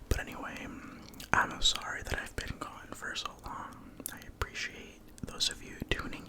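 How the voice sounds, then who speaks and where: The speaker is whispering, with long, frequent pauses. Noticeable background noise is present. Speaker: ASMR content creator. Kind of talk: ASMR gaming commentary. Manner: whispered.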